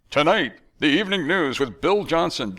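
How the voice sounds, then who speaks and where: A man's put-on character voice, fairly high, with very wide pitch swings at a moderate pace. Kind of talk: announcer. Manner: pompous, bombastic.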